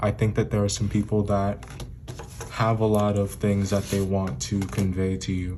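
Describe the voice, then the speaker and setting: A man speaks at a moderate pace in a fairly low pitch, with fairly even intonation and very even loudness. Noticeable background noise can be heard. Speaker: tarot reader. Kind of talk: tarot reading.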